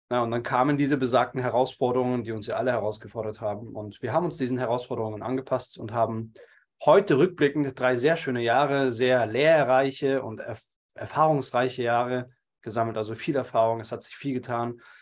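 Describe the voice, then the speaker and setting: In a normal speaking voice, the speaker goes at a fairly quick pace with fairly even intonation and big swings in loudness. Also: man, medium pitch for a man, very clean recording, silent background. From Munich, Germany. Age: 30s. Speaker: entrepreneur and public speaker. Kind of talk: interview conversation.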